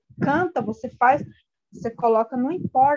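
The recording has a dry, close sound with no echo. Her voice, a woman's, is high-pitched. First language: Guarani Mbya (speaking Portuguese). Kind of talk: interview. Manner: halting.

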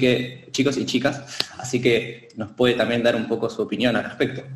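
A man talks fairly quickly. His pitch is medium. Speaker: martial arts instructor. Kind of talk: casual chat. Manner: halting, many fillers.

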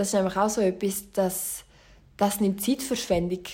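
Somewhat breathy and medium in pitch, a woman speaks with fairly even intonation. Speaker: solo podcaster. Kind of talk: casual monologue.

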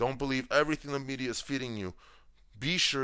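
In an American accent, a man speaks in an animated, bright, sharp tone on a very clean recording with a silent background. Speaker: podcast host. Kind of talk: opinion monologue.

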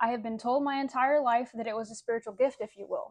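In a plain, everyday voice, this woman speaks with fairly level intonation and a rather high pitch. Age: 20s. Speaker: abuse survivor. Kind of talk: personal testimony.

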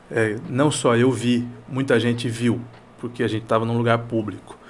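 A man speaks at a fairly slow pace in a medium pitch. He has a plain, everyday voice. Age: 40s. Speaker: news and opinion show presenter. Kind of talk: casual chat. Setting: studio.

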